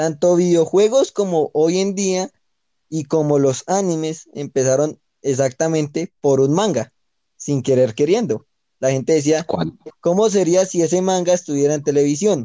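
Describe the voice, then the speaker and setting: A man with a fairly high, dark and mellow voice speaks at a fairly slow pace, the sound dry and close with no echo. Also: ordinary pitch variation. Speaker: podcast co-host. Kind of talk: casual chat.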